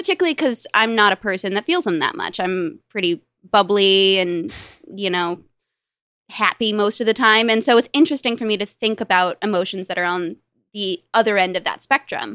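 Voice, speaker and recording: Bright and sharp in tone, the voice carries a Californian accent at a fairly quick pace. The sound is dry and close, with no echo. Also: woman, medium pitch for a woman, ordinary pitch variation. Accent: General American (California). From US West Coast, Los Angeles. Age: 20s. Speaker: novelist and software product manager. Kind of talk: casual interview.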